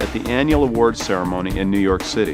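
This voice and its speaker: Background music fills the clip. Over it, a man speaks fairly quickly. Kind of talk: corporate promotional narration.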